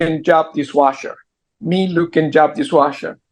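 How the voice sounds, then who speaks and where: A man with a fairly high-pitched voice speaks in a strong Argentine accent. His pace is fairly slow and his intonation fairly even. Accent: heavy Argentine Spanish. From Argentina. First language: Spanish. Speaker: entrepreneur. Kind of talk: interview. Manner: halting.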